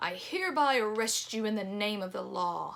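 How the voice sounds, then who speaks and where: Using a put-on character voice, a woman speaks at a moderate pace in a medium pitch. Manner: harsh.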